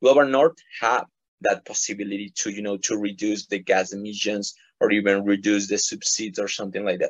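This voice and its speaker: The speaker has a Spanish accent and fairly even intonation. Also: man, fairly low pitch for a man. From Ecuador. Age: 20s. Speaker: environmental activist. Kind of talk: interview. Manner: halting, many repetitions and fillers.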